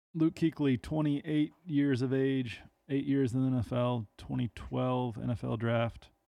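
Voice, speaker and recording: The speaker is a man with an ordinary speaking voice at a medium pitch. He talks at a fairly slow pace with ordinary pitch variation. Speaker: podcast co-host. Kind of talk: casual chat.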